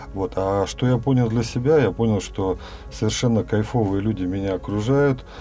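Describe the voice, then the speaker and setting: A man with a fairly low voice speaks fairly slowly, with ordinary pitch variation, against noticeable background noise. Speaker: dance student and farmer, former businessman. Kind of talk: casual interview. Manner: hesitant with fillers.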